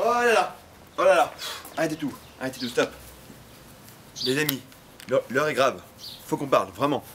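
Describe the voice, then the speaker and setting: This man's pitch is fairly high and swings very widely. He talks at a fairly quick pace over light background noise. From Paris. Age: 20s. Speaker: youtuber. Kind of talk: casual talk to camera. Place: garden. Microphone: lapel.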